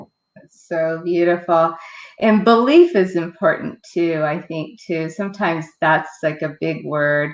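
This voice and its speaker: In a normal speaking voice, the speaker talks at a fairly slow pace with fairly even intonation. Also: woman, fairly low pitch for a woman. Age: 60s. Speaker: book review show host. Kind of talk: interview.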